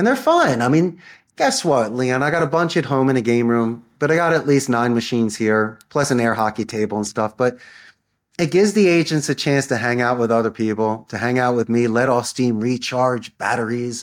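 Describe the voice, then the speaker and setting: This man has a medium-pitched voice and an American accent, with ordinary pitch variation at a moderate pace. The recording is very clean, with a silent background. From US, Philadelphia. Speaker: call center CEO and sales trainer. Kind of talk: podcast interview. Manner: animated.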